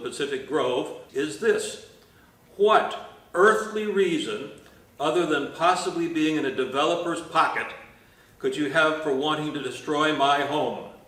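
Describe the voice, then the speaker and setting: A man with a fairly high voice talks at a moderate speed, and room echo can be heard around him. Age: 70s. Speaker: mobile home park resident. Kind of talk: testimony.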